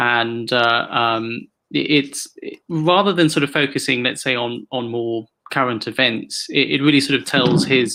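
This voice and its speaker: A man with a British accent, medium-pitched and bright, sharp in tone, at a fairly slow pace with ordinary pitch variation. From Hong Kong. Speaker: author and activist. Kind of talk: interview. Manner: halting, many repetitions and fillers.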